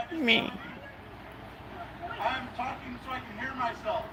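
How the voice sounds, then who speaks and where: A man speaks at a fairly slow pace with ordinary pitch variation, big swings in loudness and long, frequent pauses. Audible room echo and noticeable background noise fill the recording. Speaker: first amendment auditor. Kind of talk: heated argument.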